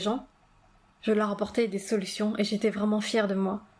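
Intonation here stays flat and monotone. The talking proceeds at a moderate speed. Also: woman. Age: 30s. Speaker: podcast host, dream coach. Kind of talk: personal monologue.

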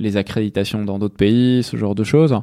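A very clean recording with a silent background and fairly even intonation. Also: man. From Provence, France. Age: 30s. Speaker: tech company CEO. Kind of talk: interview conversation. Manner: hesitant, many fillers.

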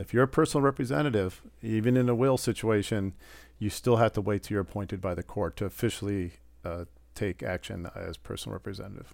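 On a very clean recording with a silent background, a man with an American accent speaks at a very fast pace. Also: fairly low pitch for a man, ordinary pitch variation. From Wisconsin, Port Washington. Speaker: estate planning attorney. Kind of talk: interview.

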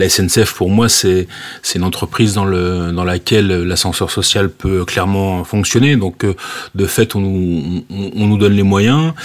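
At a fairly slow pace, a man speaks in a fairly low voice. His pitch varies in an ordinary way. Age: 40s. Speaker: railway safety manager. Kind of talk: interview. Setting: remote call. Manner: halting, many fillers.

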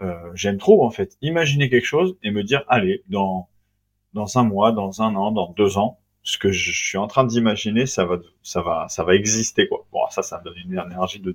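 In a plain, everyday voice, a man talks at a moderate pace with a medium pitch and ordinary pitch variation, on a very clean recording with a silent background and a dry, close sound with no echo. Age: 30s. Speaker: entrepreneur, company founder. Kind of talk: casual interview.

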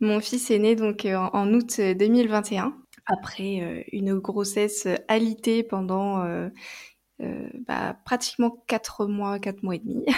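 Recorded very cleanly against total silence, a woman speaks at a medium pitch with a dark, mellow tone and fairly even intonation. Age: 20s. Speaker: naturopath. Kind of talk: testimony. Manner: hesitant, many fillers.

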